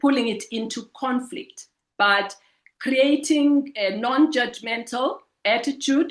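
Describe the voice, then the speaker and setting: A very slow pace with ordinary pitch variation. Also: woman, high pitch for a woman. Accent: Zulu. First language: Zulu. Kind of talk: webinar presentation. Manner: halting, with frequent repetitions.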